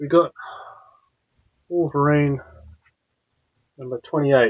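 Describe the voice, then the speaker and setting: The speaker talks with an Australian accent in a monotone, flat intonation. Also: man, fairly high pitch for a man. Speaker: comics YouTuber. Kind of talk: casual chat. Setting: live stream. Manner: rambling with many fillers.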